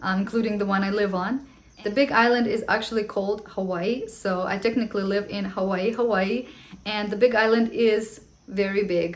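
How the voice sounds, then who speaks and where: With a non-native accent, a woman speaks at a fairly high pitch with fairly even intonation. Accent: foreign. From Ukraine. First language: Russian. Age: 30s. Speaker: vlogger, homeschooling mom. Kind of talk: casual Q&A vlog.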